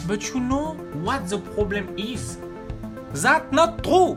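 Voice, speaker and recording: A fairly slow delivery in a French accent, with music in the background. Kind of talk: gaming video commentary.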